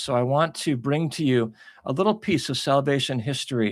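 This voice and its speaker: The man has an unremarkable speaking voice at a medium pitch with ordinary variation, recorded very cleanly against a silent background. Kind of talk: devotional encouragement talk to camera.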